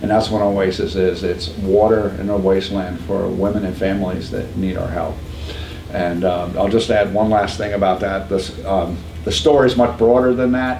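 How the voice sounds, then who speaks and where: Amid audible room echo and noticeable background noise, a man with a New York accent speaks at a moderate pace and fairly low pitch with fairly even intonation. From upstate New York. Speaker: pregnancy center founder. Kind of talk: podcast interview.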